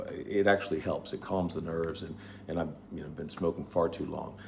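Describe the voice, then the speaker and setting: His pace is fairly quick. The man has an American accent. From United States. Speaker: vlogger sharing life tips. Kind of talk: personal testimony monologue. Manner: casual, with hesitations and repetitions.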